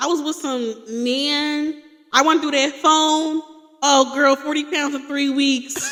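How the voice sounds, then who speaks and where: Over noticeable background noise, a woman with a high pitch speaks at a very slow pace in a monotone, flat intonation. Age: 20s. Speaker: podcast co-host. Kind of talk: casual chat.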